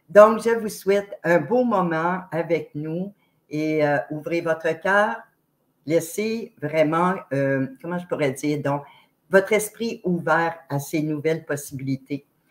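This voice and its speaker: A woman's fairly low-pitched voice at a very slow pace, with ordinary pitch variation. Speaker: online show host. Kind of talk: interview introduction. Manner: loud; very expressive.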